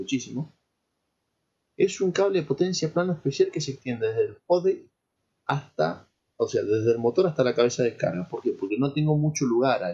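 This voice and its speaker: A man talks at a fairly quick pace, his fairly high voice somewhat breathy and his intonation lively. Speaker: lecturer in petroleum engineering. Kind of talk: lecture.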